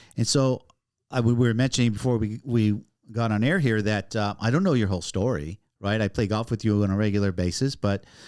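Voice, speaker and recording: In a very clean recording with a silent background, a man talks in a normal speaking voice at a fairly quick pace, with a fairly low pitch and ordinary pitch variation. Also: very even loudness. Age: 60s. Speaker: podcast host. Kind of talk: casual interview.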